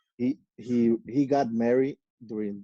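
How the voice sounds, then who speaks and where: The voice has a dark, mellow tone and monotone, flat intonation, in a Mexican accent. The sound is dry and close, with no echo. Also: man. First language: Spanish. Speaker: professional racquetball player. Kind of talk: podcast interview. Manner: halting, many fillers and repetitions.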